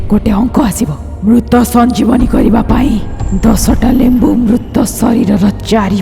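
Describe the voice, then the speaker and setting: A cartoonish character voice sits at a fairly high pitch. Loud music plays in the background. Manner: commanding, menacing.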